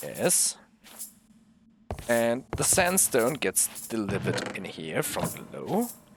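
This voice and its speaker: A man speaks at a very slow pace with long, frequent pauses and very wide pitch swings, over noticeable background noise. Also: medium pitch for a man. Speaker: gaming video creator. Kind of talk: gameplay walkthrough commentary. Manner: halting, self-correcting.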